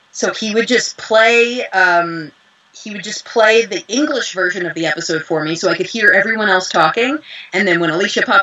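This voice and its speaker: A woman speaks at a medium pitch with lively intonation. Her pace is moderate, and there is noticeable background noise. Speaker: voice actress and dubbing director. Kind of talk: interview.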